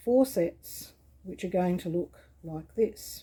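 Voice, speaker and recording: With a dark, mellow tone and a somewhat breathy sound, the voice moves at a very slow pace with ordinary pitch variation. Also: woman. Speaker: quilting tutor. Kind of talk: tutorial.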